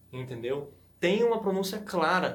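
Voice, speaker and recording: A man is speaking. There is audible room echo. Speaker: language-learning YouTuber. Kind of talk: tutorial. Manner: fast; casual, conversational.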